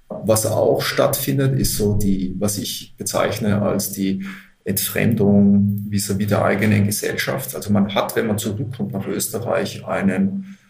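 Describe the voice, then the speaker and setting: Speaking fairly slowly with fairly even intonation, a man with a fairly low voice is heard amid audible room echo and noticeable background noise. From Austria, Upper Austria (Linz). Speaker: manager of a volunteer service organization. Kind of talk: interview.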